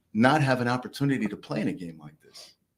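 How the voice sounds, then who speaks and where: This man has a medium-pitched voice. He speaks with an American accent. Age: 60s. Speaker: former football coach. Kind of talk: casual panel discussion. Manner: halting.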